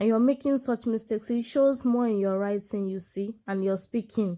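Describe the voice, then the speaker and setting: A woman's fairly high voice, dark and mellow in tone, with a Nigerian accent. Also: very clean recording, silent background. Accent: Nigerian (Yoruba) English. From Nigeria, southwest (Yoruba). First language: Yoruba. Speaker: medical doctor and English tutor. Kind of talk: tutorial.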